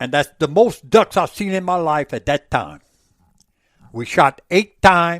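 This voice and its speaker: In a Louisiana accent, a man with a high pitch speaks at a fairly slow pace in an animated tone with ordinary pitch variation, recorded very cleanly against a silent background with a dry, close sound and no echo. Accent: Louisiana Southern. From Louisiana, Avoyelles Parish. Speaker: former market hunter. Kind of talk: podcast interview answer. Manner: animated storytelling.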